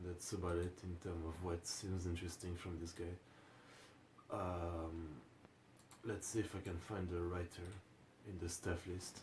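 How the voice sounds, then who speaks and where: Speaking at a fairly slow pace with a French accent, this somewhat breathy voice stays monotone and flat, broken by long, frequent pauses. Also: man, very deep, low pitch for a man. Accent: French accent, pronunciation problems. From France. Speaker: anime reaction youtuber. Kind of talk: casual video commentary. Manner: hesitant, many fillers.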